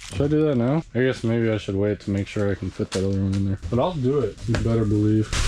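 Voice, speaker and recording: Mumbling at a very fast pace with hardly any pauses, a man uses a fairly low pitch and ordinary pitch variation amid noticeable background noise. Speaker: DIY video maker. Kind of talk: casual tutorial. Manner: rambling, casual. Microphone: small speaker mic, far from camera.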